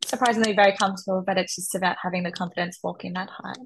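A woman speaks with fairly even intonation and a somewhat breathy sound. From Melbourne, Australia. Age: 20s. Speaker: architect and pageant contestant. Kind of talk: interview.

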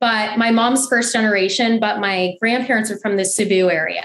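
Her pitch is medium for a woman and her tone fairly bright. She keeps a moderate pace with fairly even intonation.

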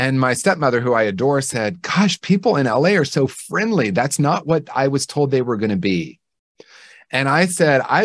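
A man speaks at a fairly quick pace in an unremarkable speaking voice of medium pitch, against a quiet background. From Indiana, US Midwest. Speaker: clinician and author. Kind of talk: interview.

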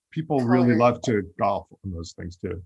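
A man's voice with vocal fry and an American accent. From US Northeast (Long Island, New York). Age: 50s. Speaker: podcast host and actor. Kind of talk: interview.

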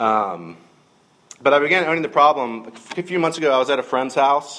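A man's pitch swings very widely, heard against noticeable background noise. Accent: Southern US. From US South, middle Georgia. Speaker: minister. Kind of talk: sermon.

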